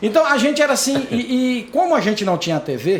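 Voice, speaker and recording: Over noticeable background noise, the speaker talks at a fairly quick pace in an animated tone with lively intonation. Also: man. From Brazil, Dianópolis, southeastern Tocantins. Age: 50s. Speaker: lawyer and newspaper columnist. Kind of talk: interview podcast conversation.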